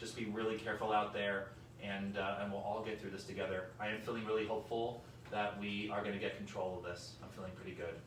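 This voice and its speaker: A man at a very fast pace in a monotone, flat delivery, with audible room echo and noticeable background noise. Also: fairly low pitch for a man. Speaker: hospital chief medical officer. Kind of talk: health update talk with Q&A. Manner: loud talker; casual, conversational with many fillers.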